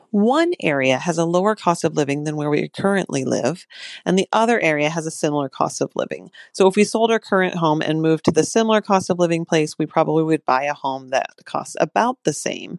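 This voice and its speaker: An ordinary speaking voice, a woman's fairly low voice moves at a fairly quick pace with lively intonation, dry and close with no echo against a quiet background. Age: 40s. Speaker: listener asking a question. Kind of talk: recorded voicemail question.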